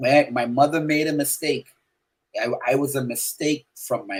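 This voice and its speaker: A man talks at a moderate pace in a fairly high pitch. His voice is somewhat breathy. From Bahamas. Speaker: gospel artist and radio/TV host. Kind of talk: casual interview chat. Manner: animated.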